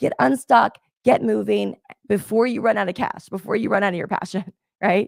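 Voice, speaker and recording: A woman's medium-pitched, animated voice with vocal fry and very wide pitch swings, at a moderate pace, in a dry, close sound with no echo. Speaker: business coach. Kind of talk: motivational talk.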